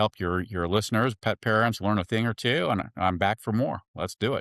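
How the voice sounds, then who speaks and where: An ordinary speaking voice from a man, fairly low in pitch, with ordinary pitch variation and a fairly quick pace. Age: 60s. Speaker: veterinarian. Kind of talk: casual interview.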